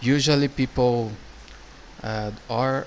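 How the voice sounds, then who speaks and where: A man with a strong Brazilian accent speaks at a very slow pace and a medium pitch. Noticeable background noise can be heard. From Brazil or Portugal. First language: Portuguese. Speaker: YouTube reactor. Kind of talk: casual video commentary. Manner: halting, many restarts.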